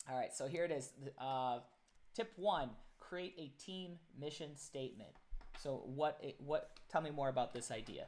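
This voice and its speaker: A man speaks at a fairly slow pace with long, frequent pauses. His pitch is fairly high, with ordinary variation. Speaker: live stream host. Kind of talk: casual live stream interview. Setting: live stream. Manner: loud.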